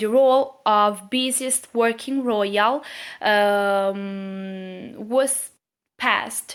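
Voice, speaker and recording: A woman speaks very slowly with a non-native accent. Her pitch is fairly high and varies in an ordinary way. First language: not English. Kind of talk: casual talk to camera. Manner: hesitant, many fillers.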